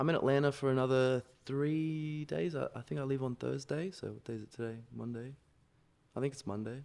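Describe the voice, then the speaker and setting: Speaking with an Australian accent, a man has a medium pitch and ordinary pitch variation. His pace is fairly quick. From Sydney, Australia. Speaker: electronic music producer. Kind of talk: casual chat. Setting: studio.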